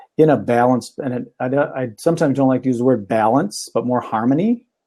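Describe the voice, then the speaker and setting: A man's dark, mellow, medium-pitched voice with ordinary pitch variation and a Minnesotan accent. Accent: Minnesota. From Minnesota, Minneapolis. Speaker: talk show host and magician. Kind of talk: casual chat.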